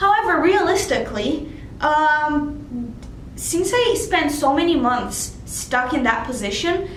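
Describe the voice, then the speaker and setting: A woman with a non-native accent at a fairly slow pace, lively in intonation, amid audible room echo and noticeable background noise. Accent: foreign. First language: not English. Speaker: international student. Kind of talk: vlog tips talk. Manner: casual, with fillers.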